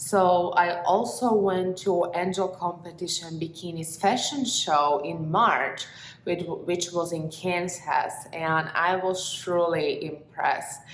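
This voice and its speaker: In a Slovak accent, a woman speaks at a fairly low pitch and a very slow pace, with fairly even intonation. Audible room echo and noticeable background noise fill the recording. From Slovakia. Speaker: bikini fitness competitor and vlogger. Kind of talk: casual vlog.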